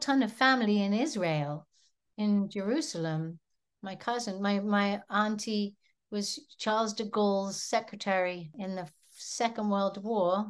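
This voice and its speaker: Against a quiet background, a woman with an English accent talks at a fairly slow pace. Her voice sits at medium pitch with ordinary pitch variation. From England, seaside village. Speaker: musician. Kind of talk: interview.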